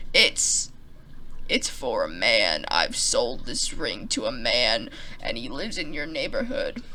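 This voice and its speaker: A put-on character voice at a fairly slow pace against clear background noise. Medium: solo performance.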